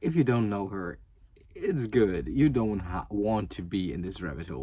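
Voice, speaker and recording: Fairly slow male speech in a German accent, dark and mellow in tone. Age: 20s. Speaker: youtuber. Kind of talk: casual rant. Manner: stuttering, halting; fillers, um, like.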